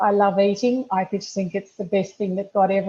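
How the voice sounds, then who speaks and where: Somewhat breathy, this woman's voice sits at a medium pitch. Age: 60s. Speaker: customer sharing weight-loss testimony. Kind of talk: testimony. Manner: halting.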